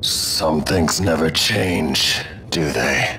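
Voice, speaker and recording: A man performs a cartoonish character voice with a very deep, low pitch. Clear background noise runs underneath. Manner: grave, measured.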